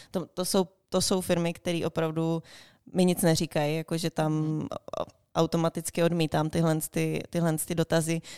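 A woman with a fairly low voice and a dark, mellow tone speaks in a monotone, flat manner at a moderate pace. The sound is dry and close with no echo, on a very clean recording with a silent background. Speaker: university alumna, freelancer and traveller. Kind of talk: interview.

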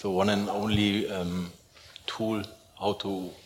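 Over noticeable background noise, a man speaks very slowly in a fairly low pitch with monotone, flat intonation. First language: not English. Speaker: audience member. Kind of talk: audience question. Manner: halting.

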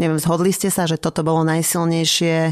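A woman speaks at a fairly low pitch. The sound is dry and close with no echo. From Slovakia. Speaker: podcast co-host. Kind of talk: casual interview.

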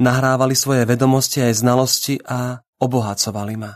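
At a moderate pace, a man speaks with medium pitch and monotone, flat intonation. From Slovakia, Bratislava. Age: 30s. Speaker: writer. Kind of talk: personal essay read aloud.

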